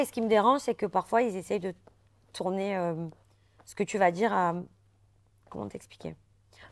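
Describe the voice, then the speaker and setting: A woman talks at a moderate pace. Her medium pitch shows ordinary variation. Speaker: reality TV contestant. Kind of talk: interview. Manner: forceful, can sound aggressive.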